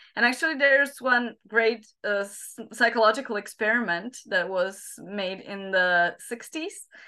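A woman with a Slovak accent speaks at a fairly slow pace with a fairly high pitch. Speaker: psychologist and teacher trainer. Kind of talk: interview. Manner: halting, many fillers.

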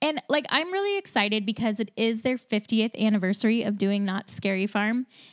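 A woman in an ordinary speaking voice talks at a fairly quick pace with hardly any pauses, a fairly high pitch, ordinary pitch variation and very even loudness. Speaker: podcast host. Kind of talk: casual chat. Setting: live stream.

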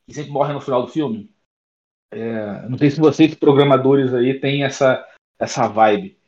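A man with an unremarkable speaking voice, fairly high in pitch, at a moderate pace with ordinary pitch variation. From Niterói, Rio de Janeiro, Brazil. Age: 30s. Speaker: software consultant and programming teacher. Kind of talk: casual chat. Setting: online audio room.

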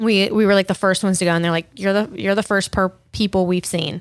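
A normal speaking voice at a fairly quick pace. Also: woman, very clean recording, silent background. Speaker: podcast host. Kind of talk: casual chat. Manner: casual, laughs often.

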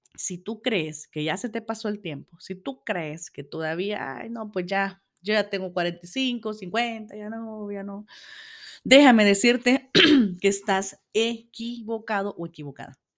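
A woman's medium-pitched voice at a very slow pace, with ordinary pitch variation and big swings in loudness. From El Salvador. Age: 40s. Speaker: podcast host. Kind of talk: solo podcast monologue. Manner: hesitant, many fillers.

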